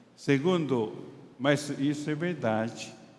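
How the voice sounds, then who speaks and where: A man talks at a very slow pace with a fairly high pitch. Audible room echo surrounds him. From Taiwan. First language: Chinese (speaking Portuguese). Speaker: pastor and doctor. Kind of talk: sermon. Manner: halting.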